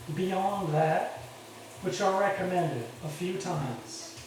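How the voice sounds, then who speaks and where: There is audible room echo and noticeable background noise as a man speaks very slowly. His pitch is high for a man, with ordinary variation. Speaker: military veteran. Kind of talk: monologue. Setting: in a shower.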